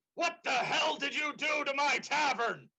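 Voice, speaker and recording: A put-on character voice at a moderate pace. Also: man, extremely high pitch for a man. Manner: gruff, annoyed.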